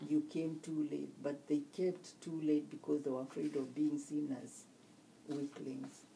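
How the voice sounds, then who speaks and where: A woman with a Kenyan accent speaks at a fairly slow pace, her pitch very deep and low with vocal fry. Her tone is dark and mellow, and her intonation fairly even. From Kenya (Murang'a, Kikuyu). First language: Kikuyu. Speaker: nurse. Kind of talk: interview. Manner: halting.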